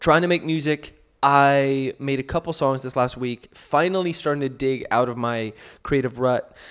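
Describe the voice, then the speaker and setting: On a very clean recording with a silent background, a man talks at a moderate pace in a fairly high pitch with fairly even intonation. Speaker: podcast host and musician. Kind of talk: casual podcast monologue. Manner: loud.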